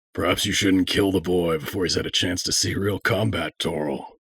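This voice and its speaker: A man puts on a character voice that is raspy and very deep. He talks at a moderate pace. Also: fairly even intonation. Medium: audio drama. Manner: potent and stoic.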